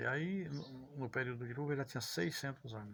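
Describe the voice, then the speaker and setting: This man's voice sits at a medium pitch and sounds somewhat breathy. He keeps a moderate pace. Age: 70s. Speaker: storyteller. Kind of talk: casual religious talk. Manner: halting.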